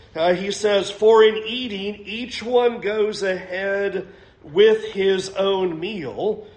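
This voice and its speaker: Over noticeable background noise and audible room echo, a man speaks very slowly in a high pitch with fairly even intonation. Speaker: preacher. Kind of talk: sermon.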